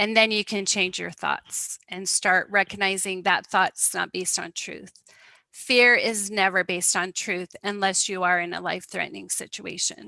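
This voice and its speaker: At a moderate pace, a woman with a bright, sharp tone and medium pitch speaks with fairly even intonation and vocal fry, sounding dry and close with no echo. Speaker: wellness presenter. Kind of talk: talk to online group.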